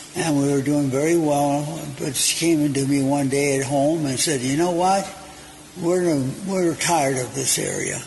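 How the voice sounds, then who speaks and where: Fairly even intonation from a man, amid noticeable background noise and audible room echo. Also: fairly high pitch for a man, moderate pace. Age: 80s+. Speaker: restaurant owner and cook. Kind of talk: interview. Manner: halting.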